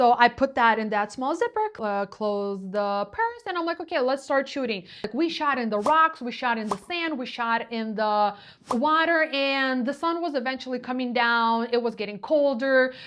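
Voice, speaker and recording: A woman speaks at a moderate pace in a high voice with lively intonation and hardly any pauses. Noticeable background noise runs underneath. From Ukraine. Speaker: photographer. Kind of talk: storytelling vlog. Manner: halting.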